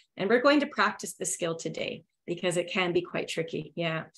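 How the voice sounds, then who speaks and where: With a Canadian accent, a woman speaks at a moderate pace. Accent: native Canadian. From Northern Ontario, Canada. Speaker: English test prep teacher. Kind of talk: webinar lecture. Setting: online webinar.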